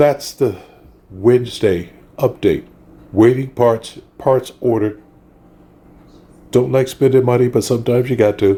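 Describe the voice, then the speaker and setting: Speaking fairly slowly with long, frequent pauses, a man uses a somewhat breathy, dark, mellow voice of medium pitch, with fairly even intonation and very even loudness. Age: 60s. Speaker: car hobbyist vlogger. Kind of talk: casual video update. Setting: indoors at home.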